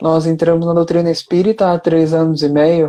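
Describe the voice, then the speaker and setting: Speaking with a northern Brazilian accent, a man uses a high pitch and a dark, mellow tone at a moderate pace. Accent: northern Brazilian (Amazonas), strong S and R. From Amazonas, northern Brazil. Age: young. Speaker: spiritist speaker and youth educator. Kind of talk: online interview. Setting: Instagram live.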